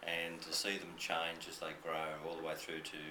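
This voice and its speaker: Speaking at a moderate pace with an Australian accent, a man has a very deep, low pitch, with audible room echo and noticeable background noise. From New South Wales, Australia. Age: 60s. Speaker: school principal. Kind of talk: interview with students. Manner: conversational with fillers.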